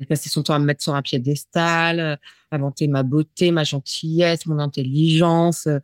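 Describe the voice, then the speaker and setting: A woman speaks in a very deep, low pitch with a monotone, flat intonation. The sound is dry and close with no echo, on a very clean recording with a silent background. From northern Paris region, France. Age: 40s. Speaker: interviewee sharing abuse story. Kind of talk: testimony. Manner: halting, many hesitations.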